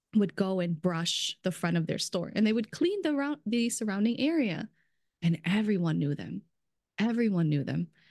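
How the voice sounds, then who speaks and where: Her medium-pitched voice carries an animated tone as the woman speaks at a moderate pace. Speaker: brand strategist in food industry. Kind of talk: casual chat. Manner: animated, laughs often.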